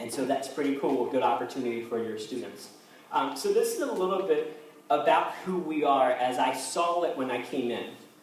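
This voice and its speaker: Recorded with audible room echo and noticeable background noise, a man with an American accent talks at a fairly quick pace, his fairly high pitch showing ordinary variation. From Baltimore, Maryland (US). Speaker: youth pastor. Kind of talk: presentation to parents. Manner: fast.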